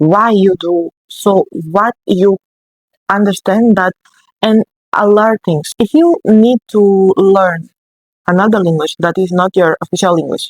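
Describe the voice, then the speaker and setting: A woman with a non-native accent speaks at a medium pitch and very even loudness. The sound is dry and close, with no echo. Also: ordinary pitch variation, fairly slow pace. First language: not English. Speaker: book review vlogger. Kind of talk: casual talk to camera. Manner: halting.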